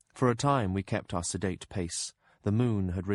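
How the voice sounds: Pitch varying in an ordinary way within a natural reading voice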